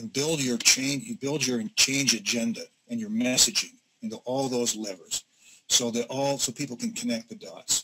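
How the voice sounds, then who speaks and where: With an American accent, a man speaks at a moderate pace in a bright, sharp tone and ordinary pitch variation. Background noise is noticeable. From US Midwest, Northeast Ohio (Youngstown area); Ohio. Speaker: business consultant, former HR executive; presenter. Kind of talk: webinar presentation. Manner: hesitant, many fillers. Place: home room.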